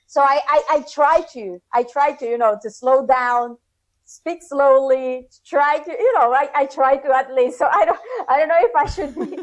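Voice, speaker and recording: This woman has a high voice with ordinary pitch variation and a non-native accent. She talks at a moderate pace. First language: Spanish. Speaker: SEO consultant. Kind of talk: interview.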